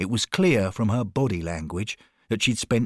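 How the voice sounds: The clip features a natural reading voice. Nothing else stands out.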